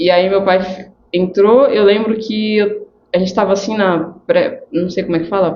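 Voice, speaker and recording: Her pitch medium, a woman speaks with fairly even intonation. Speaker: cancer survivor sharing faith testimony. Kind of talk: testimony. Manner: slow.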